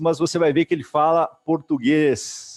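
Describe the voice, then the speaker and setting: His pitch varies in an ordinary way. The man's voice is fairly high. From Brazil. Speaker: entrepreneurship event host. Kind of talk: interview.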